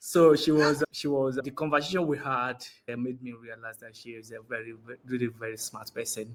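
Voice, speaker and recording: A man speaks at a fairly quick pace in a medium pitch, with hardly any pauses. His intonation is fairly even, though his loudness swings widely. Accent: Nigerian. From Nigeria, Osun State. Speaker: interviewee. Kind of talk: interview.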